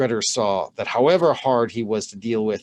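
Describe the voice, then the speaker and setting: A man with a plain, everyday voice, lively intonation and a moderate pace, on a very clean recording with a silent background. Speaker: channel host reading a medieval saga aloud. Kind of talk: saga reading, storytelling narration.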